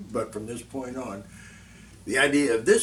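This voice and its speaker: Ordinary pitch variation in a man's speech, plus audible room echo. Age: 70s. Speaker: vlogger. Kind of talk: unscripted monologue. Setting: alone in front of a camera. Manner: halting, with many fillers.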